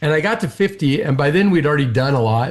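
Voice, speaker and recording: A man talks at a fairly quick pace. His voice is fairly high and somewhat breathy. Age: 60s. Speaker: business owner and CEO. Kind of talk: interview conversation.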